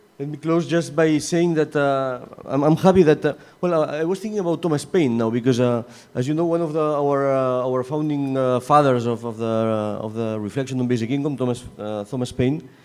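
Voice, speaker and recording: Against noticeable background noise, a man speaks fairly quickly at a fairly high pitch. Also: ordinary pitch variation. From Catalonia, Spain. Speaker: session chair at academic congress. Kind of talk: closing remarks at conference panel. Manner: halting, many fillers and repetitions.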